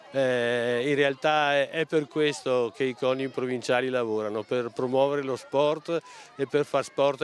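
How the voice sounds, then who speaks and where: Speaking at a fairly slow pace with fairly even intonation, a man is heard in a dry sound with no echo and light background noise. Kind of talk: interview answer. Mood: friendly, pleased. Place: open country. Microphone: handheld.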